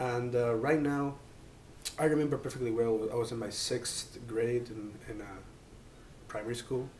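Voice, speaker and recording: Amid audible room echo and noticeable background noise, a man speaks with fairly even intonation and long, frequent pauses. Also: medium pitch for a man, moderate pace. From Spain, Mallorca. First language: Catalan. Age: 20s. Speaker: PhD student. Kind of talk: interview. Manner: halting, many fillers.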